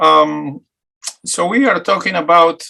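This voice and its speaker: With an Argentine accent, a man speaks in a bright, sharp tone. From Argentina, Buenos Aires. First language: Spanish. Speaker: talk show host. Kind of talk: interview.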